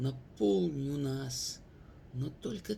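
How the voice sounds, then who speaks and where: A somewhat breathy man speaks at a very slow pace. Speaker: poet. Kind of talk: poetry reading.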